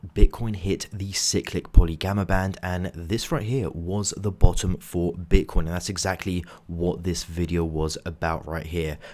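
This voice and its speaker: On a very clean recording with a silent background, a quiet man speaks at a very deep, low pitch and a moderate pace, with hardly any pauses. His intonation is fairly even, while his loudness swings a lot. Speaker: crypto trading youtuber. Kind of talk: market analysis video. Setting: hotel room. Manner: quiet, hushed.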